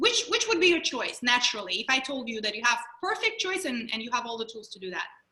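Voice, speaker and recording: A woman speaks at a high pitch in a raised, projected voice. Her pitch swings very widely. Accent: Russian. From Russia. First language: Russian. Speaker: mindfulness trainer and mental health speaker. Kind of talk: webinar presentation.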